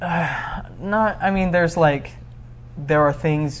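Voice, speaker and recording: Somewhat breathy, a man with an American accent speaks very slowly with ordinary pitch variation. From Arizona, US. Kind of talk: interview. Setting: studio.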